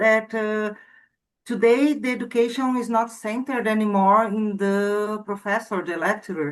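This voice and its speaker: Against a quiet background, a woman speaks with a non-native accent. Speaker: student. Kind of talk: class discussion report. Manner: halting.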